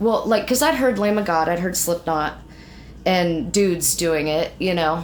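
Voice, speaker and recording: In a room with audible echo, a woman speaks at a fairly slow pace with very even loudness. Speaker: metal band vocalist. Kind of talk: casual interview chat. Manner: casual, filler-heavy.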